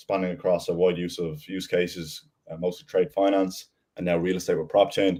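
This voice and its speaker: Talking at a fairly quick pace, a man speaks with an Irish accent. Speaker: business development lead. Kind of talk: panel discussion.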